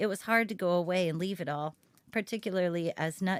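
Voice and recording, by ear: Someone reads aloud naturally, with pitch that varies in an ordinary way.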